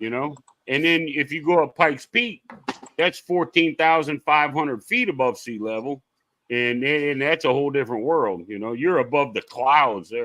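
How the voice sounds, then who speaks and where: The speaker is a man with a bright, sharp tone. He talks at a moderate pace with lively intonation. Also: fairly high pitch for a man. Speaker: live stream guest. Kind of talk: casual chat. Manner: animated storytelling.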